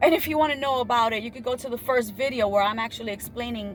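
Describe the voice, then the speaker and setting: A woman speaks with a non-native accent at a fairly high pitch. Her tone is animated and her pace very fast. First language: not English. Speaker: spiritual YouTuber. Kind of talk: spiritual monologue.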